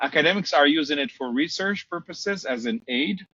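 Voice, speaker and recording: A man with a Portuguese accent and lively intonation, at a moderate pace. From Brazil. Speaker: marketing professor. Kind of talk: podcast interview. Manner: hesitant, many fillers.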